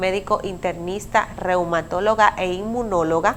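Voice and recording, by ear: A woman talks at a moderate pace. Her intonation is fairly even. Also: fairly low pitch for a woman.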